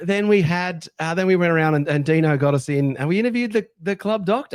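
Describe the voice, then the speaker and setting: A man with an Australian accent speaks at a high pitch. His intonation is lively and his pace fairly quick. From Sydney, Australia. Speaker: sports fan podcast host. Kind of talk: casual chat. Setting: on location in a Las Vegas hotel. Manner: animated.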